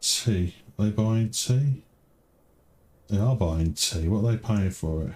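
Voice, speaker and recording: Relaxed in tone and somewhat breathy, a man with a fairly low pitch speaks at a fairly slow pace with lively intonation and long, frequent pauses. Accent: British. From Britain. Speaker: game streamer. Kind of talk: gameplay commentary. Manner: relaxed, thinking aloud.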